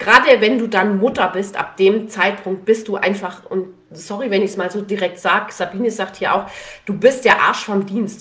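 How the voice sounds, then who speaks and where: A woman at a medium pitch, moderate pace and fairly even intonation, amid noticeable background noise. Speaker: podcast host and parental benefit consultant. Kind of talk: live Q&A stream. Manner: many fillers; casual.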